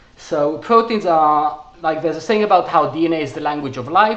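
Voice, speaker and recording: Noticeable background noise and audible room echo surround a man talking at a fairly quick pace with lively intonation. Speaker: researcher presenting his paper. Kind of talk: technical presentation. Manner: fast; halting, many fillers and restarts.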